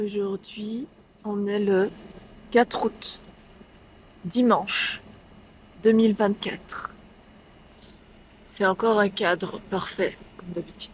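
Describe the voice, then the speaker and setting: Long, frequent pauses mark a woman's speech at a very slow pace. Her pitch is medium and her intonation fairly even. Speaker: vlogger and painter. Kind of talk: vlog storytelling. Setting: bar. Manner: whispering.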